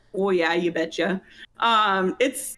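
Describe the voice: A woman with a strong Minnesotan accent speaks in a bright, sharp tone. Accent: thick Minnesota.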